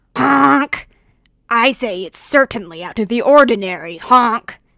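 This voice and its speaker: A put-on character voice from a woman, raspy and fairly high-pitched, at a fairly slow pace. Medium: read story. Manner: pompous, honking interjections.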